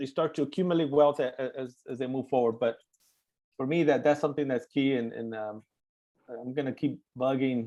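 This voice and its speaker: In a dark, mellow tone, a man of medium pitch talks at a moderate pace with fairly even intonation. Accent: East LA. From East Los Angeles. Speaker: webinar moderator. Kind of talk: panel webinar closing remarks. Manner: halting, many fillers and repeats.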